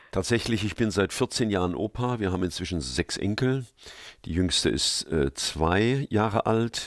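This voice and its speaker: In a very clean recording with a silent background and a dry, close sound with no echo, a man uses an ordinary speaking voice at a moderate pace, with a fairly low pitch and lively intonation. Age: 60s. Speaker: preacher. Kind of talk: interview. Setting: studio.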